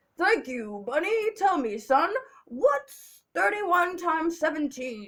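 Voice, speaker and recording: A put-on character voice, high-pitched and gravelly, moves slowly with very wide pitch swings. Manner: barking, demanding.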